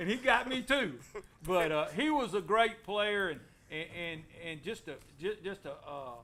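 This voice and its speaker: A man's raised, projected voice in an Alabama accent, high-pitched and bright and sharp in tone, with very wide pitch swings and big swings in loudness. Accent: US Southern (Alabama). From Alabama, Anniston. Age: 60s. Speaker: former local baseball player. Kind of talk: casual chat.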